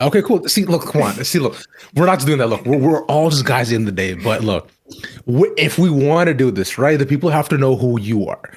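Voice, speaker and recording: This man talks at a fairly quick pace in a fairly high voice, his intonation lively and his tone animated. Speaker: esports personality. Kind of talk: casual chat. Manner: loud.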